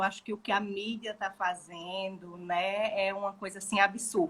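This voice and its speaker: With a northeastern Brazilian accent, a woman speaks in a medium pitch and a bright, sharp tone, keeping her intonation fairly even. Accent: Northeastern Brazilian accent, noticeable. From Brazil, Maceió (Alagoas, Northeast). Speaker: gestalt therapist. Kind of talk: casual chat.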